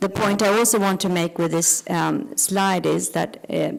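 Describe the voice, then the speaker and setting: A woman with vocal fry talks at a moderate pace. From Sweden. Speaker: cardiologist. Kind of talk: lecture. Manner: halting.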